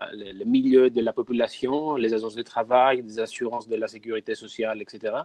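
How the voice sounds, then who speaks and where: A man's dark, mellow tone comes through with a dry, close sound and no echo. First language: not French (speaking French). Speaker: biomedical researcher. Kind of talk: webinar presentation.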